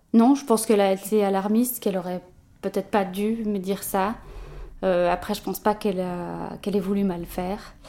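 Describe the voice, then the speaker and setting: Her voice is a woman's of medium pitch with a dark, mellow tone, moving at a fairly quick pace with fairly even intonation. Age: 20s. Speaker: journalist and new mother. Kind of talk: interview about personal experience. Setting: at the guest's home.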